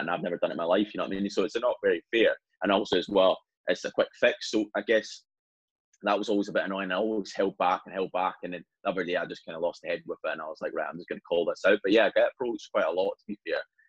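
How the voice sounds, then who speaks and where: A man's speech races along very fast. His voice sounds dry and close, without any echo. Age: 20s. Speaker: personal trainer and online fitness coach. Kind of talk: casual interview chat.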